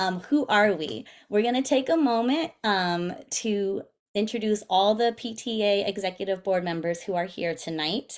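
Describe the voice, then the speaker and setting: Her voice unremarkable, a woman talks at a moderate pace and medium pitch with lively intonation. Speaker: PTA president. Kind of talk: presentation over video meeting. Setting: video call. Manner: casual, filler-heavy.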